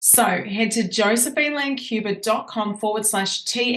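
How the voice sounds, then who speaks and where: A woman with an Australian accent over noticeable background noise. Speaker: podcast host and business coach. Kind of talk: podcast interview. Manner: animated.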